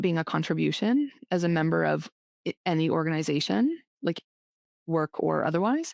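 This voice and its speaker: A woman with a Canadian accent speaks at a moderate pace in an unremarkable speaking voice, pitched fairly low. The sound is dry and close with no echo, over a quiet background. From Canada. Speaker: leadership coach. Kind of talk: interview conversation.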